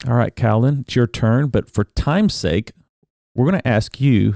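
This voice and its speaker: A man with an American accent speaks at a fairly quick pace and medium pitch, with ordinary pitch variation, vocal fry and a dark, mellow tone, in a dry, close sound with no echo on a very clean recording with a silent background. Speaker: pastor and podcast host. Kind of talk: interview. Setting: studio.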